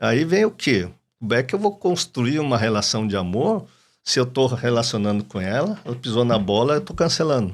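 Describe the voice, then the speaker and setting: A man with an unremarkable speaking voice and a medium pitch talks at a moderate pace with lively intonation in a very clean recording with a silent background. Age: 60s. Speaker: psychoanalyst and doctor. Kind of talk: podcast interview.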